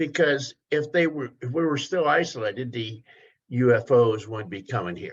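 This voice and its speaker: A somewhat breathy male voice at medium pitch, with lively intonation, big swings in loudness and a moderate pace. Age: 70s. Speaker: study group participant. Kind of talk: group discussion.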